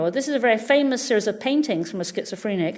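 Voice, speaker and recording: Her fairly high voice racing at a very fast pace, a woman swings very widely in pitch amid audible room echo. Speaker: neuroscientist. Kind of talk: lecture.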